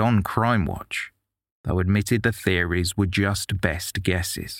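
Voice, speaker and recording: A man's plain, everyday voice, fairly low in pitch, with fairly even intonation and a moderate pace, on a very clean recording with a silent background. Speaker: podcast narrator. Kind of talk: true-crime narration. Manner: measured, grave, steady storytelling pace.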